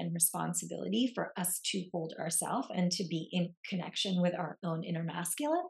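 At a moderate pace, a woman speaks with a fairly low pitch, vocal fry and ordinary pitch variation. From Lebanon. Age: 40s. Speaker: podcast host, embodiment and relationship coach. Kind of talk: casual chat.

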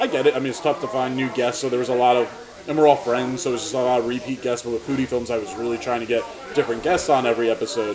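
Someone talks at a very fast pace with fairly even intonation over noticeable background noise. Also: man, medium pitch for a man, hardly any pauses. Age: 30s. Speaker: podcast host and videographer. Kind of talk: casual chat. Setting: diner.

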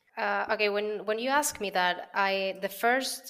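In a Spanish accent, a woman talks at a moderate pace with a bright, sharp tone and ordinary pitch variation. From Venezuela. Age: 30s. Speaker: creative copywriter. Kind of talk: interview conversation.

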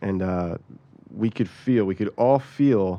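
At a very slow pace, a man with an American accent speaks in a very deep, low pitch and a dark, mellow tone. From US, South Jersey (Cape May County). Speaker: farm manager and compost specialist. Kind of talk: casual interview.

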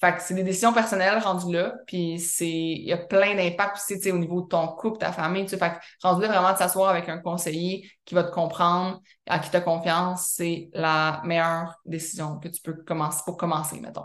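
A woman speaks at a moderate pace with a Quebec accent and a fairly low pitch. Her intonation is flat and monotone, while her loudness swings widely. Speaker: wellness coach and podcast host. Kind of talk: mentoring session answering member questions. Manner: casual, filler-heavy speech.

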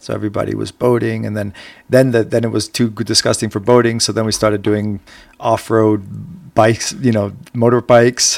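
In a very clean recording with a silent background, a man uses a normal speaking voice at a fairly quick pace with fairly even intonation. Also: medium pitch for a man. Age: 40s. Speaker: podcast host. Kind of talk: casual chat.

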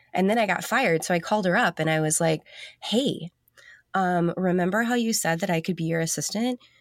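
A woman with an American accent speaks at a medium pitch and a fairly quick pace. Her loudness stays very even, and her pitch varies in an ordinary way. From US South. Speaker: designer. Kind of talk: casual interview.

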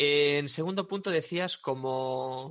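A man talks with ordinary pitch variation in an ordinary speaking voice. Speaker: web developer and SEO entrepreneur. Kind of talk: casual interview chat.

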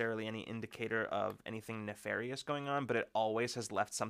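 This clip is plain reading aloud.

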